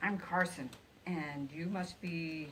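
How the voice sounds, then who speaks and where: A woman puts on a character voice at a fairly low pitch for a woman, with clear background noise behind her. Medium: read story.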